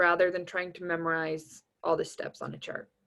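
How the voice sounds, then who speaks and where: A woman with a normal speaking voice, medium pitch, and a fairly slow pace. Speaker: anatomy tutor. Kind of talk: recorded review lecture. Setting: recording over tablet drawing.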